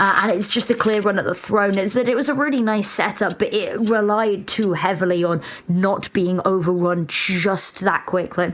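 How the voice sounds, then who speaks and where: Woman at a moderate pace with hardly any pauses, medium pitch, ordinary pitch variation and very even loudness, against noticeable background noise. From mixed: UK (several regions) and Cyprus. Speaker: esports commentator. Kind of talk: live commentary; casual chat.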